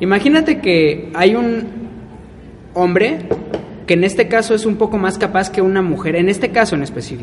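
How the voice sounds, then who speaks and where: A man with a high pitch and a Mexican accent, at a moderate pace with lively intonation and long, frequent pauses, over noticeable background noise. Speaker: podcast co-host. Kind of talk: casual chat.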